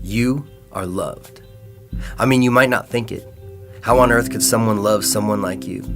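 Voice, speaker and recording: With music in the background, a man of fairly low pitch talks at a moderate pace, his pitch swinging very widely between long, frequent pauses. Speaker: spoken word poet. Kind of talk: spoken word poetry performance.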